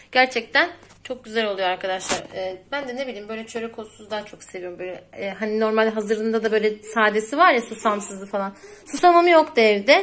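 Light background noise sits behind a normal speaking voice. The pace is fairly quick, with big swings in loudness. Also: woman, fairly high pitch for a woman. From Turkey. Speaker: cooking vlogger. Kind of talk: cooking tutorial. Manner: casual, chatty.

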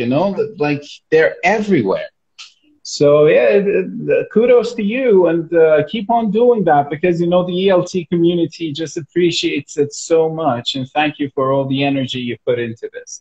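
Over a quiet background, a man with a high voice talks at a moderate pace with lively intonation. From Iran. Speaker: school manager and live host. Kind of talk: casual interview chat. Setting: live video call. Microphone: video call.

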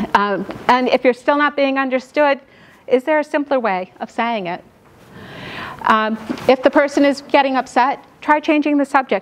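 Against noticeable background noise, a woman with an American accent speaks in a high voice. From New York. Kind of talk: lecture. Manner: fast.

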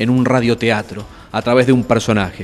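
A man with a Rioplatense accent at a moderate pace, faint music in the background. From Argentina, Buenos Aires area; Argentina. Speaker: radio announcer and workshop teacher; radio announcer running a workshop. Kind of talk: interview. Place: hall. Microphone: handheld.

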